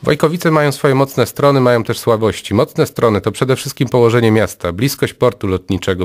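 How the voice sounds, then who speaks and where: Against a quiet background, a man talks very fast with ordinary rises and falls in pitch. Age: 30s. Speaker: local election candidate; election candidate. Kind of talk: election campaign spot. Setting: radio studio. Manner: formal. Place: studio.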